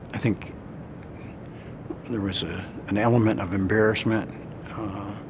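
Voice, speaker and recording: With long, frequent pauses, a man with an American accent speaks at a fairly low pitch amid noticeable background noise and audible room echo. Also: moderate pace. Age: 60s. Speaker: war veteran. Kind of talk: testimony. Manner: halting, many fillers.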